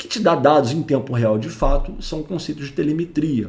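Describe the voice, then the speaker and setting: A man's voice with audible room echo. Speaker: network engineer and tech educator. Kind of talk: technical lecture. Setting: home recording. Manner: informal.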